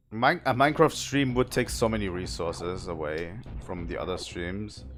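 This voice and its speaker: Over music in the background, a man with a fairly low voice speaks at a moderate pace with lively intonation. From southern Germany. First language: German. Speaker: video game streamer. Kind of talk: live gameplay stream chat. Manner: casual, with frequent repetitions and fillers.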